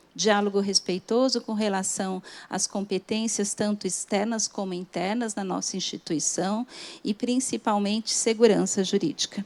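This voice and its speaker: Dry and close with no echo, a woman's medium-pitched voice moves at a moderate pace with fairly even intonation. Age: 50s. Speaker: government lawyer. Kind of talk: conference talk. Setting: stage with audience. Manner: formal; soft-spoken.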